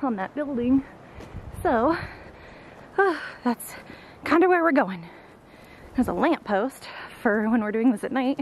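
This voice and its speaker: A woman speaks at a moderate pace with a high pitch and lively intonation. There is light background noise, and the sound is dry with no echo. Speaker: vlogger. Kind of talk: casual vlog chat. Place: open country. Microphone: phone near.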